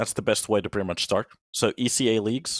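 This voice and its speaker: With a Finnish accent, a man at medium pitch speaks at a moderate pace in a dry, close recording with no echo. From Finland, Turku. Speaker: esports caster. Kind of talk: casual chat; live commentary. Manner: animated.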